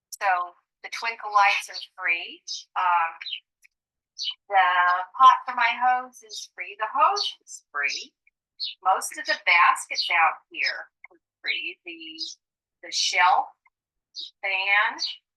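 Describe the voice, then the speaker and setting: The speech moves at a very slow pace, broken by long, frequent pauses. Loudness swings widely from moment to moment. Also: woman. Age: 60s. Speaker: interviewee in documentary video. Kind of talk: casual on-camera interview.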